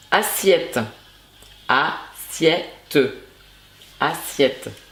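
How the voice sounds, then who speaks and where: A woman speaks at a very slow pace with noticeable background noise. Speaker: booktuber.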